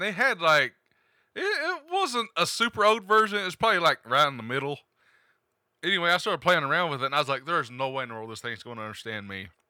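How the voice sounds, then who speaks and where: A man with an Appalachian accent talks at a very fast pace, his fairly high pitch swinging very widely. His tone is bright and sharp, with big swings in loudness. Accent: Appalachian Southern US. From eastern Kentucky, US. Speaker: tech podcast host. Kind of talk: casual chat.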